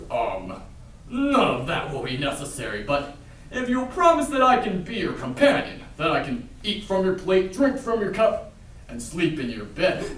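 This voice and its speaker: Doing a put-on character voice, a man speaks at a moderate pace in a high pitch, with a slight echo. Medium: stage play. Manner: polite yet cheeky.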